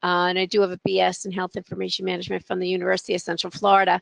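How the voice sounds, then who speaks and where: A woman with a New York accent talks at a very fast pace and medium pitch, her intonation fairly even, in a dry, close sound with no echo over a quiet background. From Long Island, New York. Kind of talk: webinar presentation. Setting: online webinar.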